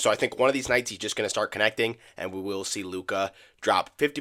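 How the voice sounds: In a very fast, raspy, put-on character voice, a man speaks at a fairly low pitch, with a dry, close sound, no echo and a very clean recording with a silent background.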